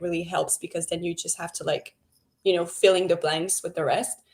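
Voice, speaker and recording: This is a woman speaking. She talks with a French Canadian accent. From Quebec, French Canada. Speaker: book club co-host. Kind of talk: casual chat.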